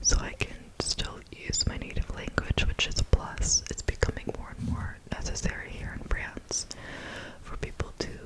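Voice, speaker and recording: A woman whispering at a moderate pace, with big swings in loudness and noticeable background noise. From United States. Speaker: ASMR creator. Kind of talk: whispered casual chat. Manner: soft.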